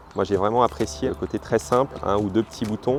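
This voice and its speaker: A man's fairly low voice, with ordinary pitch variation, comes through noticeable background noise. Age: 40s. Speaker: journalist giving a customer testimonial. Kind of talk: testimony. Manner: hesitant, many fillers and repeated words.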